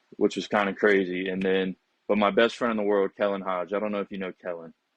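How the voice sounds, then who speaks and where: Speaking at a very fast pace, a man with a fairly low pitch keeps a monotone, flat intonation. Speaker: college basketball player. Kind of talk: interview. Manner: casual, conversational.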